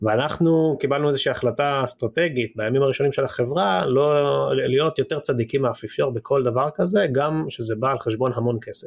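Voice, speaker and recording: A man has a normal speaking voice with a fairly high pitch, ordinary pitch variation, very even loudness and a moderate pace. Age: 30s. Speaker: tech company CEO. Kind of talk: interview.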